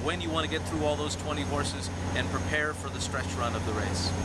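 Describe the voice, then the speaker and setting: Loud background noise sits behind a man whose voice sounds dry, with no echo. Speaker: horse race caller. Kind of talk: interview answer. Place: street. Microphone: phone near.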